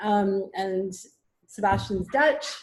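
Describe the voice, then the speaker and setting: A woman's voice at a medium pitch. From Quebec, Canada. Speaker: parent. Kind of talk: video call introduction.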